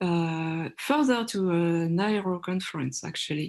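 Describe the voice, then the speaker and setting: A woman talks in a French accent. Her pitch is fairly low, and the background is quiet. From France. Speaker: workshop moderator. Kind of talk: online panel discussion.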